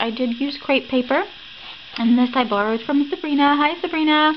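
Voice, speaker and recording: A woman with an American accent talks at a fairly quick pace with ordinary pitch variation, over noticeable background noise. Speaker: crafting YouTuber. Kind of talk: craft tutorial. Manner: casual, chatty.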